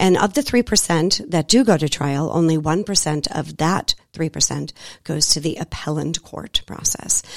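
The speaker has vocal fry and an American accent, with a dry, close sound with no echo. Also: woman, fairly low pitch for a woman, ordinary pitch variation, moderate pace. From Boston, Massachusetts. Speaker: divorce coach. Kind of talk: radio interview. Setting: radio studio.

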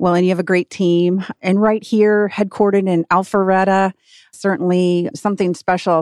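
A woman with an American accent talks in a normal speaking voice at a medium pitch. Her pace is fairly quick, and the background is quiet. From Michigan, US. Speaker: chamber of commerce executive, co-host. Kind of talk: radio interview. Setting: studio.

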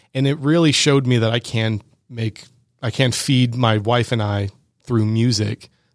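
A man with an American accent has a plain, everyday voice and fairly even intonation. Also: medium pitch for a man, moderate pace. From Georgia, US. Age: 20s. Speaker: music composer. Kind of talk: interview. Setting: studio.

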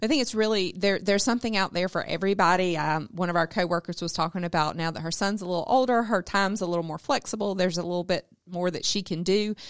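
A very fast pace in a Southern US accent, with hardly any pauses, ordinary pitch variation, and a very clean recording with a silent background. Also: woman, medium pitch for a woman. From South Georgia. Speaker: business development and board volunteer. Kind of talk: casual radio interview. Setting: studio.

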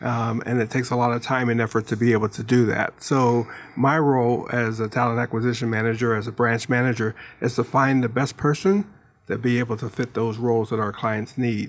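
With an American accent, a man talks in a normal speaking voice using fairly even intonation. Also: medium pitch for a man, fairly quick pace. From Pittsburgh, US. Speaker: staffing branch manager. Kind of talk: casual radio interview.

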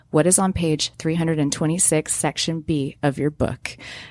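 The intonation is fairly even on a very clean recording with a silent background. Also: woman. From Atlanta, Georgia. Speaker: financial advisor. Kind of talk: radio interview. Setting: live broadcast studio with audience.

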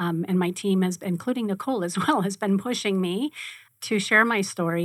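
Recorded very cleanly against a silent background, a woman with a plain, everyday voice speaks at medium pitch and a fairly quick pace. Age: 50s. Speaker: radio host. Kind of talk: casual chat. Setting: studio.

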